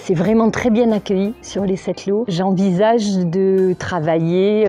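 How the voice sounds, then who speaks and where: A woman speaks at medium pitch in a southwestern French accent. Her pace is fairly slow and her intonation fairly even, with noticeable background noise. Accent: southwest French. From southwest France. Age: 50s. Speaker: massage practitioner and sophrologist. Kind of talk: interview testimony. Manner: hesitant, with frequent fillers.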